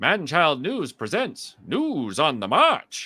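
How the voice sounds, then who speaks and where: A man's put-on character voice, fairly high in pitch, at a very slow pace with very wide pitch swings. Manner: brisk, crisp, authoritative.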